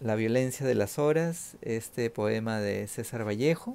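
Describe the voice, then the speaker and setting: A man's dark, mellow voice at a fairly slow pace. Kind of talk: poetry reading aloud, solemn elegiac litany of deaths. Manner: slow, measured, somber.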